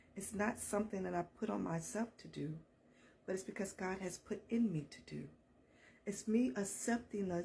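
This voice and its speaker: A woman's medium-pitched voice with vocal fry, a dark, mellow tone and ordinary pitch variation. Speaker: counselor and motivational speaker. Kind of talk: faith-based motivational talk. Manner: animated.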